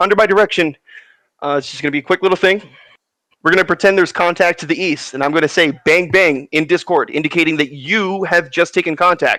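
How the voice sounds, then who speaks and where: A man's high-pitched, bright, sharp tone at a very fast pace. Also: dry, close sound with no echo. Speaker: gaming unit instructor. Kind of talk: instructional briefing. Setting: voice chat in online game.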